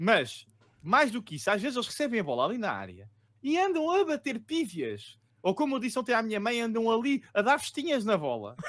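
Swinging very widely in pitch, a man with an extremely high voice talks at a fairly quick pace. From Lisbon, Portugal; Portugal. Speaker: fantasy football podcast co-host. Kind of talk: casual chat about fantasy football tips. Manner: jokey, laid-back. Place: home room.

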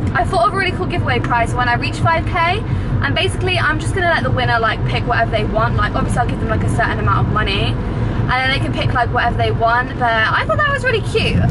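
Over loud background noise, the speech races along at a very fast pace with hardly any pauses. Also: woman. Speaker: vlogger. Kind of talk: casual vlog chat. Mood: cheerful, chatty. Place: car. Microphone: phone near.

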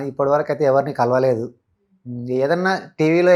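With a plain, everyday voice, the man speaks at a fairly high pitch and with fairly even intonation. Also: quiet background. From Telangana, Wanaparthy district village. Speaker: shepherd and social media influencer. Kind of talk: interview. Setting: studio.

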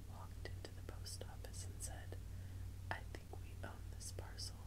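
A woman at a moderate pace over loud background noise. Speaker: ASMR creator. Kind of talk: whispered reading aloud, ASMR magazine reading. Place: home room.

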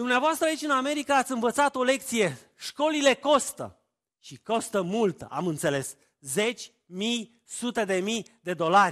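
The pace is fairly slow, with very wide pitch swings and big swings in loudness. The background is quiet. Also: man, extremely high pitch for a man. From Romania, Oltenia (Târgu Jiu, Craiova); Romania. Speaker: family therapist and preacher; preacher. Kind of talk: sermon. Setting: church. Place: church.

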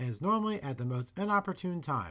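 A man with an unremarkable speaking voice talks at a fairly quick pace with lively intonation and a fairly high pitch. The recording is very clean, with a silent background. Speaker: channel owner, camera operator and voice-over narrator. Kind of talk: product unboxing and review narration.

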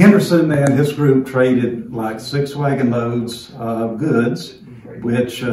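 Speaking at a fairly slow pace, a man is heard with audible room echo and light background noise. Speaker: historical tour guide. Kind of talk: guided tour explanation. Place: home room. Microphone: phone near.

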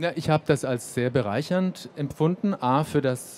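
A man's voice shows ordinary pitch variation, with light background noise behind it. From Germany, Erlangen (Franconia); Franconia, Germany. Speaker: cultural institute music director; panelist. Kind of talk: panel discussion. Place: hall. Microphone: handheld.

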